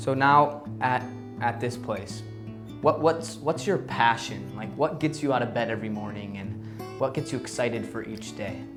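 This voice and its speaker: With music playing in the background, a man speaks at a moderate pace and medium pitch, with ordinary pitch variation. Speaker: interviewer. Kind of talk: interview questions.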